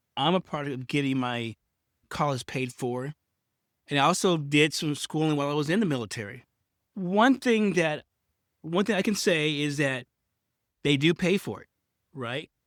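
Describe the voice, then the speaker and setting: A man with an American accent talks at a moderate pace with lively intonation and long, frequent pauses. The sound is dry and close, with no echo. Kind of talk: unscripted podcast monologue. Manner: halting, self-correcting.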